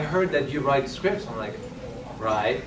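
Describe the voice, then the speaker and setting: A man with a French accent, fairly high-pitched for a man, fairly quick, with very wide pitch swings, audible room echo and noticeable background noise. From France. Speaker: screenwriter and actor-director. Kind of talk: panel discussion.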